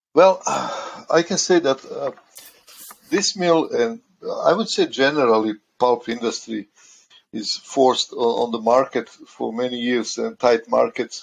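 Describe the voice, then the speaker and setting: A man speaks at a fairly slow pace with a Croatian accent. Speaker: maintenance engineer. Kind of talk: interview. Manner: halting.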